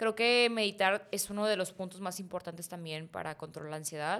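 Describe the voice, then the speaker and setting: A woman speaks at a fairly quick pace in a normal speaking voice, with medium pitch and ordinary pitch variation. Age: 20s. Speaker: fitness influencer. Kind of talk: testimony.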